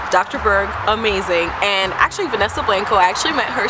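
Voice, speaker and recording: Music plays behind the speaker. The voice is a woman's. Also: dry sound with no echo. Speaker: vlogger. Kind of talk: casual vlog chat. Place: garden. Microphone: phone near.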